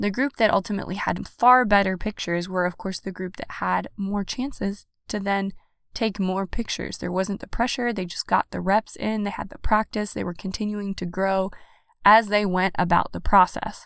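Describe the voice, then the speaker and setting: In a very clean recording with a silent background, a woman with an unremarkable speaking voice talks at a moderate pace, medium in pitch and fairly even in intonation. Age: 30s. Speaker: podcast host. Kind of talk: solo podcast monologue. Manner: warm, encouraging.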